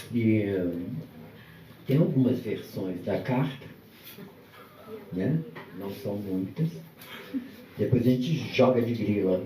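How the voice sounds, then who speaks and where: A man's medium-pitched voice with lively intonation, a very slow pace and long, frequent pauses, amid noticeable background noise and audible room echo. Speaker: guest speaker at book launch. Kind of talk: live talk at book launch event. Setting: event venue with audience and microphone. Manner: soft-spoken.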